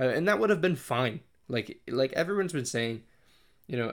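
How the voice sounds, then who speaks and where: A man with an American accent talks at a fairly quick pace, his pitch medium. The recording is very clean, with a silent background. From Connecticut, US. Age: 20s. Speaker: podcast host and hockey blogger. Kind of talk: solo monologue podcast. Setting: in front of a microphone, solo recording. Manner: hesitant, many fillers and restarts.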